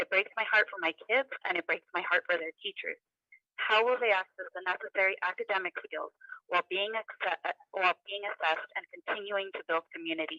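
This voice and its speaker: A woman talks at a fairly quick pace. The audio is dry and close, with no echo. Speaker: parent giving public comment. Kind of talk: prepared public comment. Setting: phone call held up to a computer. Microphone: phone held to computer, hard to hear.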